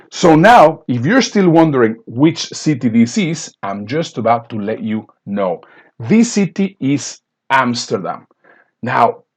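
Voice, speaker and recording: A man with a non-native accent and a fairly high pitch speaks with very wide pitch swings against a quiet background. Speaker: business speaker and coach. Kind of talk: sales pitch.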